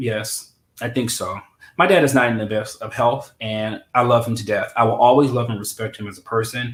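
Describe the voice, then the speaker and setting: This man has an American accent and a medium pitch, speaking at a fairly quick pace with fairly even intonation. His voice is somewhat breathy, with big swings in loudness. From US Midwest, St. Louis. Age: 30s. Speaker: interview guest. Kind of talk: personal interview. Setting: livestream.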